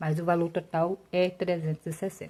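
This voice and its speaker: Somewhat breathy and dark, mellow in tone, a woman speaks at a fairly slow pace with fairly low pitch and fairly even intonation. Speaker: personal finance YouTuber. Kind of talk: tutorial. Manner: casual.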